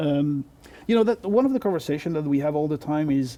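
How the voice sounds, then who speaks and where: A man talks very fast with a French accent. His intonation is lively. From France. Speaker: network technology expert. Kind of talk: interview. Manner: halting.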